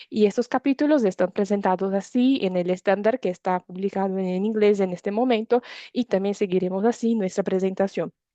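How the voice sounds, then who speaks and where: A woman speaks at a medium pitch with a Brazilian accent, her tone dark and mellow with ordinary pitch variation and hardly any pauses. The sound is dry and close with no echo, against a quiet background. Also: fairly quick pace. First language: Portuguese (speaking Spanish). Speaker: climate standards presenter. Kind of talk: webinar presentation. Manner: hesitant, frequent fillers.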